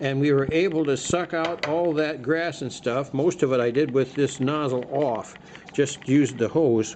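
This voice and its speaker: The man's intonation stays fairly even while noticeable background noise runs underneath. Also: fairly high pitch for a man, moderate pace. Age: 70s. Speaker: DIY video maker, lawn equipment owner. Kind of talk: casual tutorial. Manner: halting, many fillers.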